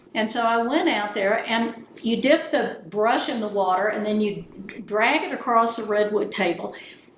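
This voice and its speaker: A woman with an American accent, fairly high pitch and ordinary pitch variation at a moderate pace, with noticeable background noise and audible room echo. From South Texas. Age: 70s. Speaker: art appraiser. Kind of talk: casual chat. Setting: at her home.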